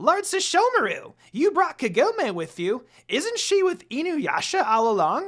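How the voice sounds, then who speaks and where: A put-on character voice, extremely high and raised to project, swings very widely in pitch at a moderate pace with hardly any pauses. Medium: read story. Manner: scolding, huffy.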